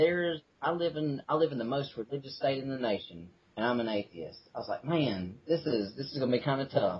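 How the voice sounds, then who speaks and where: A man with a Southern accent, fairly high pitch, lively intonation and a fairly quick pace, amid noticeable background noise. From Mississippi. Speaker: atheist activist. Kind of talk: casual interview. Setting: front porch. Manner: casual, filler-heavy.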